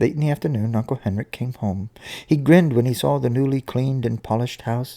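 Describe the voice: Ordinary pitch variation in a plain reading aloud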